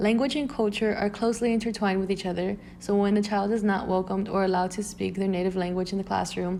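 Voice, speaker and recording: A woman with an American accent talks at a very fast pace with hardly any pauses and very even loudness. Her medium pitch holds a fairly even intonation. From US South, Brownsville, Texas border. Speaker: student. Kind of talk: scripted narration.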